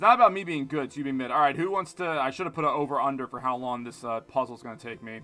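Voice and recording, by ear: The clip is reading aloud in a natural voice, with intonation that moves in a lively way.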